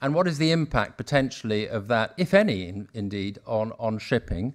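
The background stays quiet. A man talks at a moderate pace. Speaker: panel moderator. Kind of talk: moderator introduction. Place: hall. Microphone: podium.

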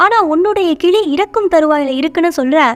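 A woman with lively intonation over music in the background. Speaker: story narrator. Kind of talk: storytelling narration.

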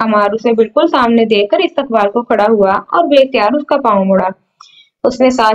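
The clip has an unforced reading voice with ordinary pitch variation. The background is quiet.

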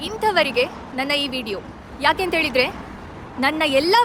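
Over noticeable background noise, a woman uses a raised, projected voice. Her intonation is lively. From India. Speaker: video blogger. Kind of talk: direct-to-camera address.

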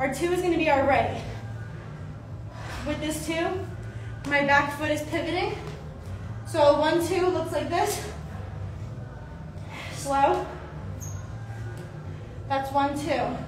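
A woman's high voice at a very slow pace, fairly even in intonation, with long, frequent pauses, noticeable background noise and audible room echo. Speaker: boxing instructor. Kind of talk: tutorial. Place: gym. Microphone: camera far.

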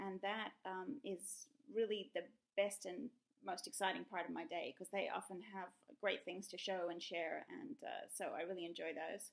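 The pitch varies in an ordinary way. Behind it, the background stays quiet. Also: woman, moderate pace. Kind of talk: interview answer. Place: home room. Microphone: webcam.

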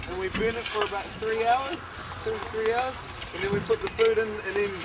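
Over loud background noise, a man talks at a fairly quick pace. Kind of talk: tutorial. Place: open country. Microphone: camera far.

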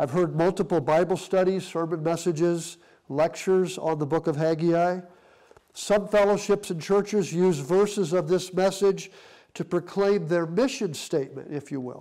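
A man with a high pitch and fairly even intonation at a moderate pace, against a quiet background. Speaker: pastor. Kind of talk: sermon. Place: home room.

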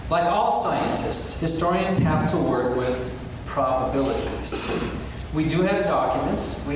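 A man's high voice at a fairly slow pace, with ordinary pitch variation, strong room echo and noticeable background noise. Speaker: atheist activist and author. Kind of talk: formal debate. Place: hall.

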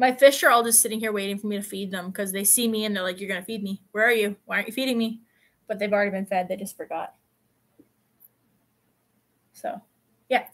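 A woman speaks at a fairly quick pace in a bright, sharp tone with fairly even intonation.

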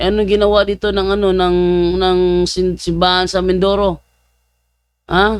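This man's voice sits at a high pitch. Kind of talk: commentary vlog. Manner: animated.

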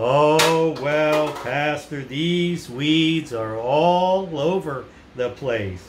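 A man's fairly high-pitched cartoonish character voice, very slow in pace, over clear background noise. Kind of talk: children's church puppet show. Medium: puppet show. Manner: distracted, flustered, earnest.

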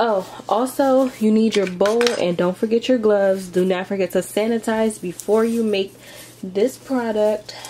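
A woman talks at a fairly slow pace, with background noise clearly noticeable. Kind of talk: tutorial.

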